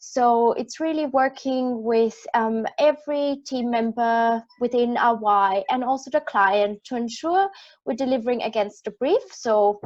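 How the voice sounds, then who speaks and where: A woman speaks with an Austrian accent. Her pitch is fairly high, with ordinary variation. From Austria, rural village. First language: German. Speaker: project manager. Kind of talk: panel discussion. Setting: live-streamed panel.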